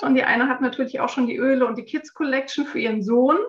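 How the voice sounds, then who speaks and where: This woman has a high pitch and ordinary pitch variation. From Frankfurt, Germany. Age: 40s. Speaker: essential oils consultant and massage therapist. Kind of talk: casual interview.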